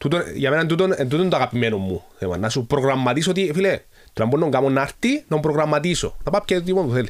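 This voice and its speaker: Lively intonation from a man at a very fast pace, his pitch fairly high. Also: hardly any pauses. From Cyprus. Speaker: motivational speaker and mental trainer. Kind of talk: interview.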